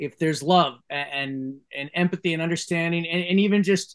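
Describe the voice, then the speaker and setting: A man speaks with lively intonation at a moderate pace, the background quiet. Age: 50s. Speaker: film director. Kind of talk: casual interview. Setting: video call. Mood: earnest, heartfelt. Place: home room. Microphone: video call.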